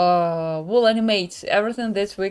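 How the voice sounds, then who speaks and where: Fairly slow, lively-intoned speech from a woman amid noticeable background noise. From Ukraine. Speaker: motion designer. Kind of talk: live-stream tutorial. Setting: live stream. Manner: halting, frequent fillers.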